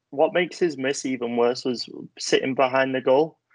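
Medium in pitch, the man's voice holds fairly even intonation throughout. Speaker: football fan podcast guest. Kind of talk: casual chat.

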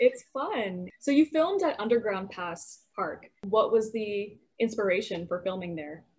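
A woman uses a normal speaking voice with a fairly high pitch and lively intonation. She talks at a fairly slow pace, and her loudness swings widely. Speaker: podcast host. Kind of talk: casual interview.

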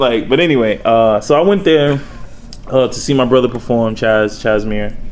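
A man talks at a medium pitch with a Bronx accent. His loudness stays very even throughout. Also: ordinary pitch variation, moderate pace. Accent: New York, Bronx. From New York City, the Bronx. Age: young. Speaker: rapper and graffiti artist. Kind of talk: casual interview.

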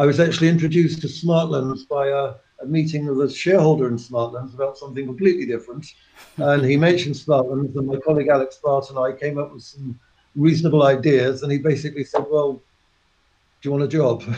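In a southern English accent, a man talks at a very fast pace with a fairly high pitch, monotone, flat intonation, and big swings in loudness. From England, near Cambridge. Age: 50s. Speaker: company chairman. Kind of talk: interview.

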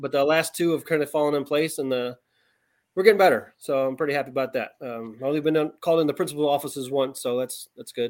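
Talking at a very fast pace, a man uses a fairly high pitch. His pitch variation is ordinary. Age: 50s. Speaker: sports writer and high school journalism teacher. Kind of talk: casual chat.

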